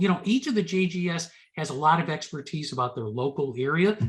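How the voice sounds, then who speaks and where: Speaking with an American accent, a man with a high pitch uses lively intonation at a moderate pace. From United States. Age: 60s. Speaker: genealogy presenter. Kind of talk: Q&A after a presentation. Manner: stammering repetitions.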